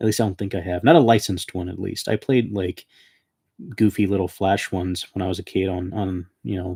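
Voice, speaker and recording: Recorded very cleanly with a silent background and a dry, close sound with no echo, a man speaks with a very deep, low pitch, a dark, mellow tone, a somewhat breathy quality and fairly even intonation. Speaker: streamer. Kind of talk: live stream chat. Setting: home, sitting on the floor. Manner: halting.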